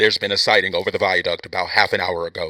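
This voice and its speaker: A man races along at a very fast pace in a put-on character voice. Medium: read story. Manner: terse, secretive.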